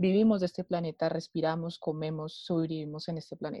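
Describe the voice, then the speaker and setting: Here is a woman with a normal speaking voice at a fairly low pitch. She talks at a fairly quick pace. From Bogotá, Colombia. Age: 20s. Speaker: political scientist. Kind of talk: panel discussion.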